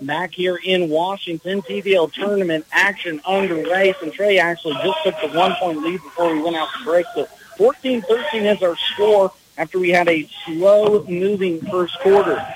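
Here a man talks in a high voice with ordinary pitch variation. Noticeable background noise runs underneath. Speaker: radio sports play-by-play announcer. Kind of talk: live play-by-play basketball commentary. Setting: gym broadcast from the tournament. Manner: fast, rapid-fire, animated play-by-play delivery.

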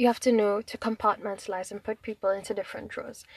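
Very fast speech from a woman, fairly high in pitch, with fairly even intonation, a quiet background, and a dry, close sound with no echo. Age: 20s. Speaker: vlogger. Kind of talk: personal monologue.

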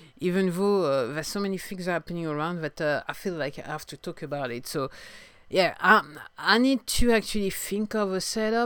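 A woman with a French accent and a fairly low pitch, on a very clean recording with a silent background. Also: moderate pace, big swings in loudness. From France. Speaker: singer-songwriter podcaster. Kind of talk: solo video podcast monologue. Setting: home video recording, storm outside. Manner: halting, hesitant with fillers.

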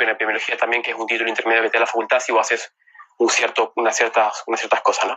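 A man with a medium pitch rattles along at a very fast speed. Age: 30s. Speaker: neurosurgeon. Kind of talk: casual interview. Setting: Instagram Live video call. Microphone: phone earpiece taped up.

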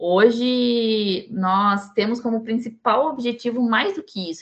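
Very slow in pace, a woman speaks at a fairly high pitch with ordinary pitch variation. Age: 20s. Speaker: chemical engineering student and tech team lead. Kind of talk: podcast interview.

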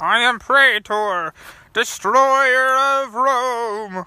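Someone performs a put-on character voice at a fairly high pitch and a very slow pace.

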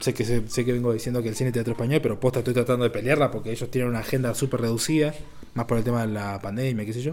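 A man at medium pitch, very fast in pace, with fairly even intonation. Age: 20s. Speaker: film director. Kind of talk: casual chat.

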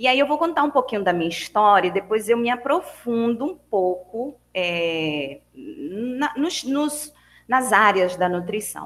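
At a fairly slow pace, a woman speaks in a fairly high pitch with very wide pitch swings. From Bahia, Brazil. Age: 40s. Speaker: nutritionist. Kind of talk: online talk to students. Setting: video call. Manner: animated.

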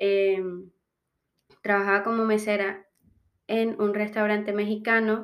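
At a fairly slow pace, a woman speaks at a medium pitch in a monotone, flat intonation. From Colombian Caribbean coast. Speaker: international student. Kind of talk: interview testimony. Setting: in person, audio only.

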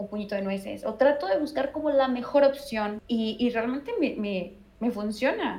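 A woman speaks at a moderate pace in a high voice, with noticeable background noise. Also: ordinary pitch variation. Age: 20s. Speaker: meditation teacher. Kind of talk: interview.

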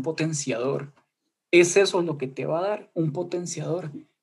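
A man with a plain, everyday voice talks at a moderate pace with ordinary pitch variation. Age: under 20 (19). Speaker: student. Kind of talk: casual chat. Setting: video call.

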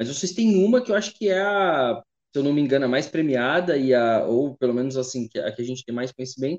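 A man speaks in a plain, everyday voice, fairly high in pitch, with lively intonation at a fairly quick pace. The sound is dry and close, with no echo. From Taubaté, São Paulo state, Brazil. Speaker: podcast host. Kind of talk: casual interview chat. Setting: at his mother's house.

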